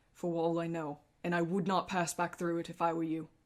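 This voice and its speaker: A resonant, put-on character voice delivers the lines at a moderate pace. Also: woman. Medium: actual play. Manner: urgent, halting.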